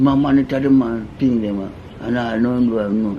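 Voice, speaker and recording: With noticeable background noise behind him, a man speaks at a moderate pace in a Jamaican accent, using ordinary pitch variation. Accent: Jamaican Patois. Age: 80s+. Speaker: interviewee recounting life stories. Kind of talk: casual interview.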